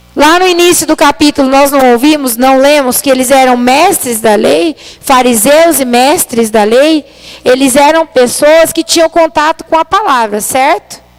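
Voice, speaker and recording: Over noticeable background noise, a high-pitched woman speaks with very even loudness and ordinary pitch variation, in a dry, close sound with no echo. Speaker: preacher. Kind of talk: sermon. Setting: church livestream. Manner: soft-spoken.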